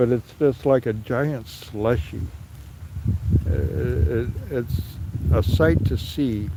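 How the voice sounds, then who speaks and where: A man with an American accent speaks very slowly, with long, frequent pauses and a fairly low pitch. His intonation is lively, over noticeable background noise. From California (Sacramento). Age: 60s. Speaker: livestreamer. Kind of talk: live stream walkaround commentary. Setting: outdoors in snow. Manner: halting, many fillers.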